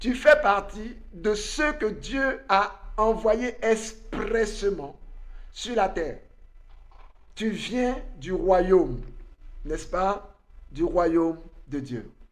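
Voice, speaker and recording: Speaking at a very slow pace with long, frequent pauses, a man uses a high pitch and lively intonation. Audible room echo is present. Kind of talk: online conference talk, sermon-like.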